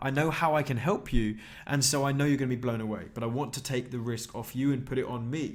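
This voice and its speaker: Here a man talks at a very fast pace in a British accent. His pitch is fairly high. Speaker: online marketing trainer. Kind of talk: sales pitch. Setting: live webinar. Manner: animated.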